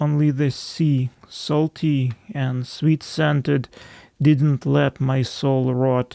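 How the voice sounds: Delivered in a natural reading voice, the speech carries fairly even intonation.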